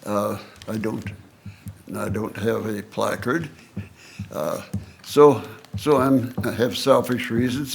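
With audible room echo, a man speaks at a medium pitch and a fairly slow pace, his intonation fairly even. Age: 90s. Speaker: senior citizen speaking at public meeting. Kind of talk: public comment at council meeting. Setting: council chambers.

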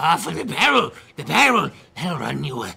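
Using a raspy, put-on character voice, a man speaks at a moderate pace with big swings in loudness. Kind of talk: in-character roleplay. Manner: excitable, impatient, broken clipped speech; greedy haggling.

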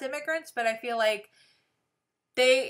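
Over a quiet background, a woman with an American accent speaks at a high pitch in a bright, sharp tone. Her pace is fairly slow, and her pitch variation is ordinary. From Texas. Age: 40s. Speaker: livestream co-host, theater teacher. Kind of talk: casual chat. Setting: home livestream. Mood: serious, earnest. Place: home room. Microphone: webcam.

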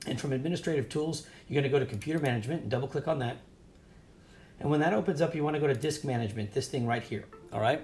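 A man talks very fast at a fairly high pitch, somewhat breathy, with ordinary pitch variation. Long, frequent pauses break his speech over light background noise. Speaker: drone hobby tutorial youtuber. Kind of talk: screen-share tutorial. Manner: fast talker; casual, filler-heavy. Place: shop. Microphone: webcam.

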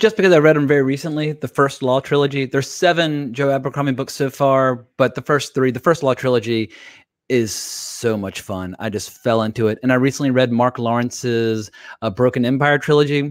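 Dry with no echo, a man's medium-pitched voice moves at a fairly quick pace in an American accent. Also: ordinary pitch variation, quiet background. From US. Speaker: TV show reviewer. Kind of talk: casual chat. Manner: animated. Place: home room. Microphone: studio mic.

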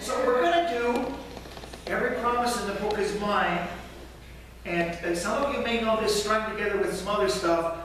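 With a high pitch and long, frequent pauses, a man speaks in a room with strong echo and light background noise. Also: ordinary pitch variation, moderate pace. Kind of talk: informal song introduction to a congregation. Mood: light, joking. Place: church. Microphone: camera far.

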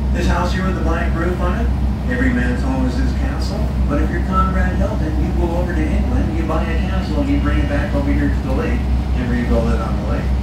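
Through loud background noise and audible room echo, a man talks at a fairly quick pace. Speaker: boat captain tour guide. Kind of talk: tour guide commentary. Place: boat.

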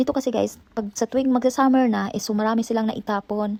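A woman's fairly high voice has a dark, mellow tone and ordinary pitch variation, recorded with a dry, close sound and no echo. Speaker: vlogger. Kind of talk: casual vlog. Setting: at home.

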